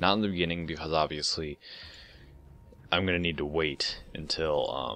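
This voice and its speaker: Mumbling at a moderate pace, the speaker has a bright, sharp tone and ordinary pitch variation. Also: man, very deep, low pitch for a man. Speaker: gaming commentator. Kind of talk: post-game commentary. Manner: hesitant, many fillers.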